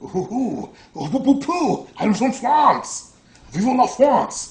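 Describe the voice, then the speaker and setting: In a put-on character voice, a man speaks at an extremely high pitch. His pace is very slow. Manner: exaggerated, romantic.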